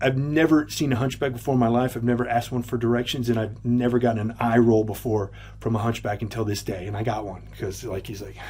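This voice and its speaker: At a fairly quick pace, a man with a Texan accent speaks at a medium pitch with ordinary pitch variation. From Texas. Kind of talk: casual storytelling to camera.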